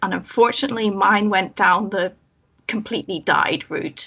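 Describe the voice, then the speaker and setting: Bright and sharp in tone, a woman with a Northern Irish accent speaks at a fairly high pitch. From Northern Ireland, Belfast. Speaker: former believer, chaplaincy guest. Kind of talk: casual chat.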